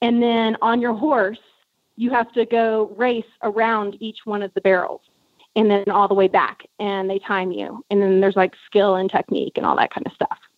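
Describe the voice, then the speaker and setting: This woman has a normal speaking voice and an American accent. Her pitch is fairly high, her intonation fairly even and her pace moderate. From South Texas. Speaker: actress. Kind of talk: interview.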